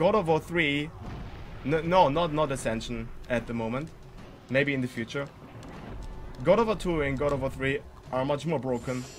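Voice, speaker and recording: Over music in the background, a man with a fairly high pitch and ordinary pitch variation talks at a moderate pace, pausing long and often. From Germany. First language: German. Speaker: speedrunner streamer. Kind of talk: live gameplay commentary. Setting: live stream. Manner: halting.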